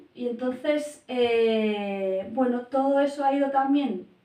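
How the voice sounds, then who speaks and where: Her tone is dark and mellow, her pitch high for a woman, and her pitch variation ordinary. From Spain, Basque Country (San Sebastián). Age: 40s. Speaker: family and educational coach, primary teacher. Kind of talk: interview. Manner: hesitant, many fillers.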